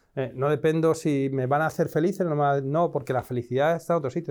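Very fast and fairly high-pitched, a man speaks with fairly even intonation over a silent background in a very clean recording. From Spain, Madrid. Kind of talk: interview.

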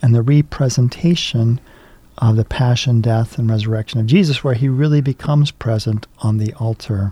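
A man with a dark, mellow, somewhat breathy tone, medium pitch, ordinary pitch variation and a moderate pace. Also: dry, close sound with no echo. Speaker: priest and chaplain. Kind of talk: casual chat. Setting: studio.

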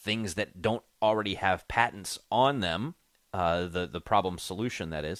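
A man with a normal speaking voice talks at a fairly low pitch with ordinary pitch variation. The sound is dry and close with no echo, on a very clean recording with a silent background. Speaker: morning radio show co-host. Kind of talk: casual radio banter and interviews.

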